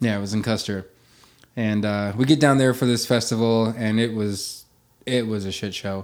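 A plain, everyday voice from a man with an American accent, medium in pitch, with fairly even intonation at a moderate pace. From western Nebraska Sandhills. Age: 30s. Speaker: podcast host and musician. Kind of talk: casual chat; podcast intro monologue.

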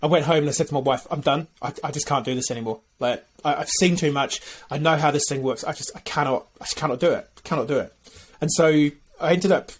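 A man's fairly high-pitched, somewhat breathy voice at a very fast pace with fairly even intonation. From UK. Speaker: B Corp consultant. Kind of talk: casual interview.

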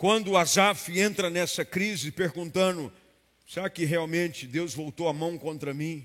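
A man's fairly high voice in a Brazilian accent, with ordinary pitch variation. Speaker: preacher. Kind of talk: sermon. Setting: church with live congregation. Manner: earnest, fervent preaching tone, rising to a declarative, commanding cadence in prayer; direct and explanatory, addressing the listener as 'you'.

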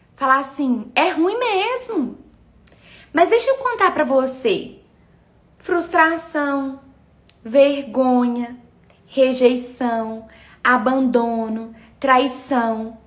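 In a room with audible echo, a woman talks at a very slow pace in a high pitch, leaving long, frequent pauses. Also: ordinary pitch variation. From Minas Gerais, Brazil. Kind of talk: live stream talk on faith and meditation. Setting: live video stream.

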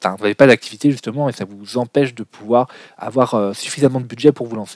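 A man talks at a medium pitch and a fairly quick pace with ordinary pitch variation, in an unremarkable speaking voice. The sound is dry and close with no echo. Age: 20s. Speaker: business podcast host. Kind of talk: solo podcast monologue.

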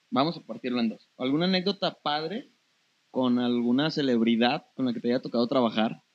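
A man's normal speaking voice at a medium pitch, fairly quick, with ordinary pitch variation. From Torreón, northern Mexico. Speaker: podcast host and photographer. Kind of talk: casual interview.

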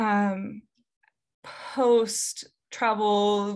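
A woman's fairly high voice with a Midwestern American accent, against a quiet background. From US Midwest, Davenport, Iowa. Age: 30s. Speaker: copywriter. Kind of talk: casual chat.

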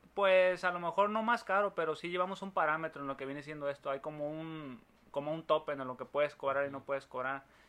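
A man with a Mexican accent talks at a very fast pace in a bright, sharp tone, fairly high in pitch with ordinary pitch variation. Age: 30s. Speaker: builder. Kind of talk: casual chat.

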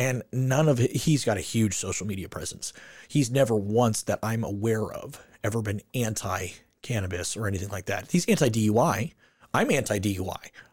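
A man speaks with an American accent at a medium pitch, his voice somewhat breathy. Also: ordinary pitch variation, moderate pace. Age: 40s. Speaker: podcast host. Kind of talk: casual interview chat.

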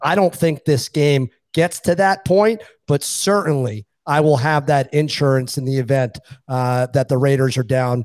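Speaking in an ordinary speaking voice with an American accent, a man talks at a fairly slow pace and medium pitch, the sound dry and close with no echo. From Boston. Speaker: sports betting analyst. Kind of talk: casual chat.

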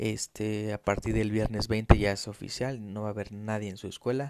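With a Mexico City accent, a man speaks at a moderate pace and fairly low pitch on a very clean recording with a silent background. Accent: Mexican Spanish (Mexico City). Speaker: financial trader and market analyst. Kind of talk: solo podcast monologue. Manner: hesitant, frequent fillers.

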